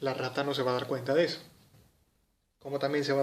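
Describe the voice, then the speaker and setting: A man with an Andalusian accent speaks in monotone, flat intonation with audible room echo. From Andalusia, Spain. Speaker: psychology tutor. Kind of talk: lecture. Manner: casual, with hesitations.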